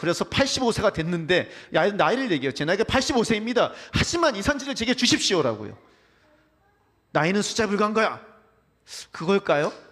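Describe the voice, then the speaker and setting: A man with a high pitch swings very widely in pitch while keeping his loudness very even. He talks at a very fast pace with long, frequent pauses. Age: middle-aged. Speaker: pastor. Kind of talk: sermon. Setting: church.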